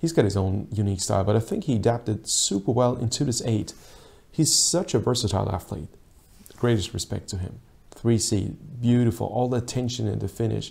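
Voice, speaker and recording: Talking at a fairly quick pace, a man shows vocal fry and ordinary pitch variation. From Austria. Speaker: rowing coach and video analyst; rowing coach, video analyst. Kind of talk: sports video analysis commentary. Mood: calm, appreciative. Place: office. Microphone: lapel.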